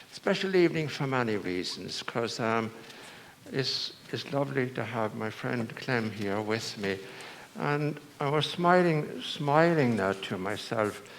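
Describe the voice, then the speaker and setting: Amid noticeable background noise and audible room echo, a man talks fairly slowly at a medium pitch with lively intonation. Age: 80s+. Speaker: priest. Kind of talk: sermon. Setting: church. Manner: halting.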